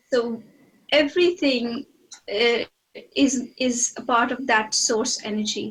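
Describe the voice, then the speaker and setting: This soft-spoken woman has a high voice with ordinary pitch variation. She talks at a very slow pace, with long, frequent pauses. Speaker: psychic medium channeling a spirit. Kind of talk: channeling session conversation. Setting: video call. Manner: halting, hesitant. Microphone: too quiet, not triggering on screen.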